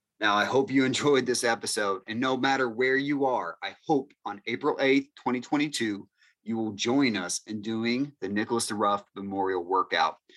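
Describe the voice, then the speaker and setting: A man with an ordinary speaking voice talks at a moderate pace and medium pitch, with ordinary pitch variation. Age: 30s. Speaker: college strength coach and podcast host. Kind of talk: solo podcast monologue.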